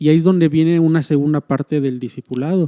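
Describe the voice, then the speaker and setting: With a Mexican accent, a man speaks at a fairly high pitch in a dark, mellow tone, the sound dry and close with no echo. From Mexico. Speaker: church minister. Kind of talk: casual chat.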